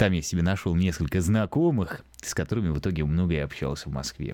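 A man speaks with a very deep, low voice. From Lithuania. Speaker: podcaster. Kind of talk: casual monologue. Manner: audible heavy breathing; hesitant, filler-heavy.

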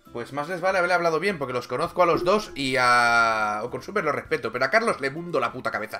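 Very fast speech from a man with a fairly high pitch and lively intonation, music playing behind him. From Catalonia. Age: 30s. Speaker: gaming streamer. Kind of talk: casual chat. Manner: animated.

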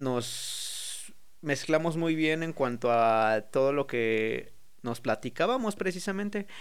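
At a very slow pace, a man with a Mexican accent speaks with lively intonation and a fairly high pitch. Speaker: freestyle rapper. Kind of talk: casual chat.

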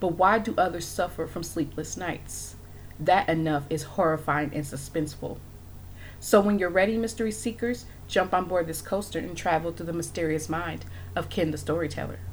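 Speaking at a moderate pace, a woman uses a fairly low pitch with vocal fry and ordinary pitch variation. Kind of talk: horror narration. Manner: hushed, ominous, suspenseful pacing.

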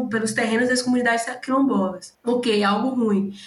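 Here a woman speaks in a high pitch with a Bahian accent. Audible room echo is present. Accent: Bahian Brazilian Portuguese. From Bahia, Brazil. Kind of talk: casual chat.

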